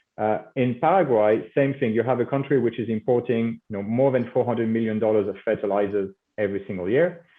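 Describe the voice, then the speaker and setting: The speaker talks in a French accent at a moderate pace. Pitch variation is ordinary. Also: man. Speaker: company CEO. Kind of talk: business interview. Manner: halting, many fillers.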